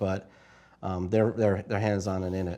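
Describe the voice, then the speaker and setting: A man with a New York accent is heard on a very clean recording with a silent background. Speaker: marketing analytics panelist. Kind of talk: panel discussion. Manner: fast.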